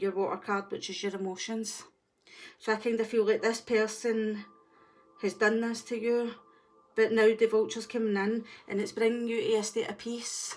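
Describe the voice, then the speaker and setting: A woman with a strong Scottish accent, fairly high in pitch, monotone and flat in intonation, at a moderate pace over music in the background. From Scotland. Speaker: tarot reader. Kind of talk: tarot reading.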